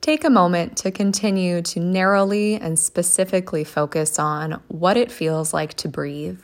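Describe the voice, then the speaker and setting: A woman with a normal speaking voice talks with hardly any pauses, her pitch fairly low and its variation ordinary. The recording is very clean, with a silent background. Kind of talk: guided meditation. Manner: slow, calm and gentle, with long pauses; soothing, soft-spoken.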